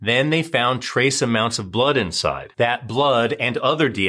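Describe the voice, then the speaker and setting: With a bright, sharp, dramatic tone, a man talks at a moderate pace. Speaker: true crime narrator. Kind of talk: true-crime narration, scripted recap of a serial killer case. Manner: brisk, dramatic, storytelling.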